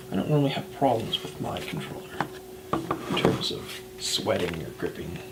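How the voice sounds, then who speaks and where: A soft-spoken voice moves at a moderate pace with long, frequent pauses. Noticeable background noise sits behind it. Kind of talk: ASMR soft-spoken product review.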